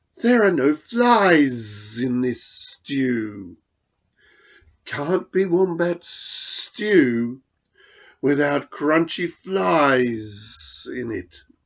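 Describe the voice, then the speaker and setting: Hissing in a put-on character voice, a man talks at a very slow pace with a fairly high pitch. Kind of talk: storybook narration. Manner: hissing, smug.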